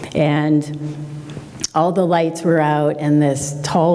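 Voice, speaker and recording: A woman with an American accent, a very deep, low pitch and a monotone, flat intonation, with noticeable background noise and audible room echo. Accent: Boston-area accent, mostly held back. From Massachusetts, North Shore (Peabody). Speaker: glass artist. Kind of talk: public talk. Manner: hesitant, many fillers.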